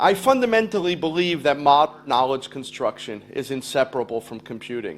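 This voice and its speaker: An unremarkable speaking voice from a man, fairly high in pitch, at a moderate pace. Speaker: education speaker. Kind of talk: lecture.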